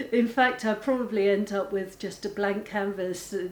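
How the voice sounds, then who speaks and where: At a fairly slow pace, a woman speaks in a medium pitch with fairly even intonation. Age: 60s. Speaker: artist. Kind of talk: documentary interview. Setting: art studio. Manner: halting.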